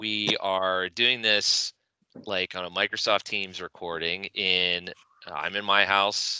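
Bright, sharp tone in a dry, close sound with no echo over a quiet background. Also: man. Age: 30s. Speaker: podcast co-host. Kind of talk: casual chat. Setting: video call.

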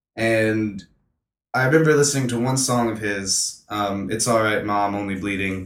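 A man with an American accent has an ordinary speaking voice. His pitch is medium, with ordinary variation, and his pace is moderate. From North Carolina (Hampstead, near Wilmington). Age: young. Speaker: musician. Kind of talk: casual chat.

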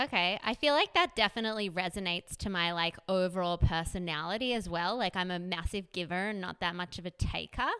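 Bright and sharp in tone, a woman speaks at a medium pitch and a fairly quick pace, with hardly any pauses and ordinary pitch variation. The recording is very clean, with a silent background. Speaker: fashion designer and former blogger. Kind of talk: casual interview chat.

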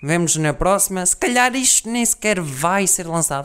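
A man speaks with lively intonation. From Portugal, Guarda district village. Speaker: podcaster. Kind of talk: casual monologue.

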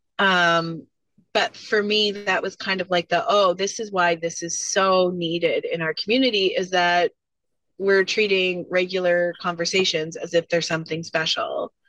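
In an ordinary speaking voice, a woman with a Canadian accent speaks at a medium pitch with fairly even intonation. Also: moderate pace. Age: 30s. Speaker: college student and business owner. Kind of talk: interview.

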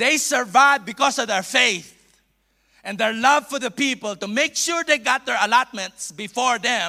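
A man with a Filipino accent speaks in a raised, projected voice at an extremely high pitch, with a bright, sharp tone, ordinary pitch variation and a moderate pace. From Philippines. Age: 50s. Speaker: bishop, visiting preacher. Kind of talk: sermon. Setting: church. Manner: halting.

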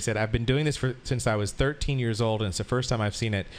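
The speaker has an unremarkable speaking voice, and its pitch moves in an ordinary way. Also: man. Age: 50s. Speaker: sex educator and party host. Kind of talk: casual interview.

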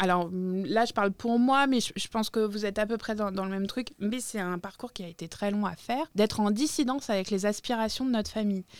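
With an ordinary speaking voice at medium pitch, a woman talks at a fairly quick pace with hardly any pauses and ordinary pitch variation, captured in a very clean recording with a silent background. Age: 40s. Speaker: podcast co-host, activist. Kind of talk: casual chat. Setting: studio.

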